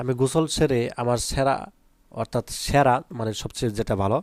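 This man has an ordinary speaking voice at a medium pitch, with ordinary pitch variation and a dry, close sound with no echo. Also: very clean recording, silent background. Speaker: online English tutor for school pupils. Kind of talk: tutorial; sales pitch. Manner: casual, conversational.

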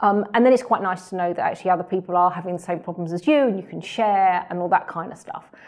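Against a quiet background, a woman talks at a very fast pace with ordinary pitch variation. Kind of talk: interview answer. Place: office.

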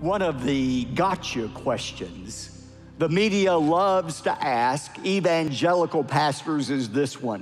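A man with an American accent and a fairly high pitch speaks very slowly with lively intonation while faint music plays in the background. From United States. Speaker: Baptist pastor and televangelist. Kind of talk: sermon. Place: church. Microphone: headset.

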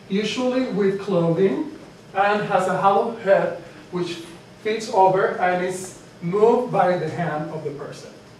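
Room echo is audible behind a moderate pace. There is light background noise. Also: man. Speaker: teacher. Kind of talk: lecture. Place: classroom. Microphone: camera far.

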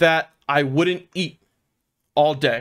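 Over a quiet background, an animated man with an American accent speaks at a fairly slow pace in a fairly high voice with ordinary pitch variation. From Philadelphia (South Philly); Philadelphia. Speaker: streamer sharing recovery story; streamer. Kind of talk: personal testimony on stream; personal story told to stream viewers. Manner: casual, profane, animated; halting, repetitive. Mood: earnest, confessional. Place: home room.

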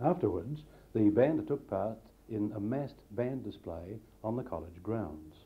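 A man speaks at a fairly slow pace in a fairly low, somewhat breathy voice with lively intonation. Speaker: narrator reading school history. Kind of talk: scripted narration of school history. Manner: formal, even-paced.

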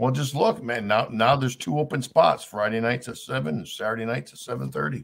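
A man talks at a fairly quick pace with lively intonation, vocal fry and hardly any pauses. The background is quiet. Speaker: YouTube streamer. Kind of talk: casual live stream chat. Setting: live stream. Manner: casual, chatty. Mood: reflective, farewell. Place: home room. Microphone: webcam.

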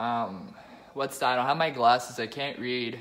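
This man speaks with fairly even intonation. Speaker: comedy sketch vlogger. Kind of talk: comedic sketch, mock vlog and testimonials. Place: home room. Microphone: phone near.

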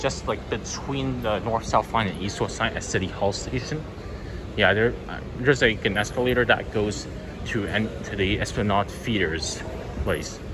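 Heard over noticeable background noise, a man speaks with a fairly low pitch. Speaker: travel vlogger. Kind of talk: casual vlog chat. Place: station. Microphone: phone near.

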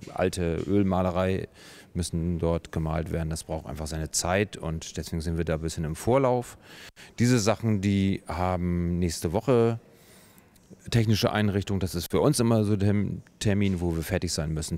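A man speaks with a very deep, low pitch and ordinary pitch variation. His pace is moderate, and the sound is dry with no echo. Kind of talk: interview answer. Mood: calm, matter-of-fact. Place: workshop. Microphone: handheld.

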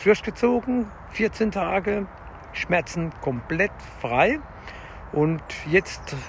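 Over light background noise, a man with a high pitch talks at a very slow pace, the sound dry with no echo. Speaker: fitness vlogger. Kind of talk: casual vlog chat. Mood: calm, encouraging. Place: forest. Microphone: phone near.

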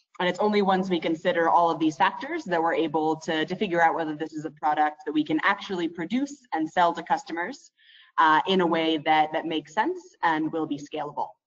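A woman's normal speaking voice with an American accent, fairly low in pitch with ordinary pitch variation, at a fairly quick pace over a quiet background. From United States. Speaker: product manager; webinar presenter. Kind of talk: webinar presentation. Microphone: video call.

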